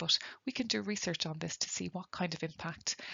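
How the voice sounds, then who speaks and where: With an Irish accent, a woman speaks at a fairly low pitch with vocal fry. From Ireland. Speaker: nursing lecturer. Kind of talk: webinar lecture. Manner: fast.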